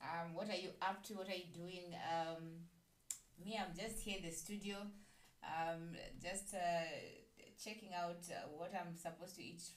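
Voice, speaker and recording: Amid audible room echo, a woman speaks in a flat monotone at a fairly low pitch, fairly slowly, with long, frequent pauses. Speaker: radio show host. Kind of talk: radio show host chat. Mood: warm, cheerful. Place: studio.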